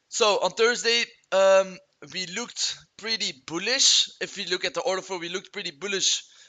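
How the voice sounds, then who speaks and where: A man with a non-native accent, a high pitch, fairly even intonation and a moderate pace. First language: not English. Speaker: trading youtuber. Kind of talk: screen-share tutorial. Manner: casual, halting with fillers.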